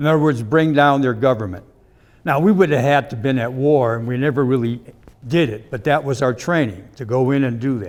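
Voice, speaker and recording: A man speaks at a medium pitch and a fairly quick pace, with ordinary pitch variation. He has a Midwestern American accent. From US Midwest, Cleveland area. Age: 70s. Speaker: invited speaker, army veteran. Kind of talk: talk to a club audience.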